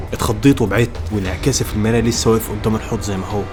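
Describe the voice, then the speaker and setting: A man talks at a fairly low pitch. Music plays in the background. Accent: Egyptian. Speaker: horror story narrator. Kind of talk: first-person horror story narration.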